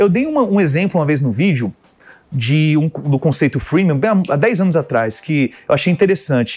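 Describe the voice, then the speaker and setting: A man with an ordinary speaking voice and a fairly high pitch talks at a moderate pace. His intonation is lively, and his loudness is very even. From Brasília, Brazil. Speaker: tech tools specialist and community founder. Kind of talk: casual interview. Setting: radio studio.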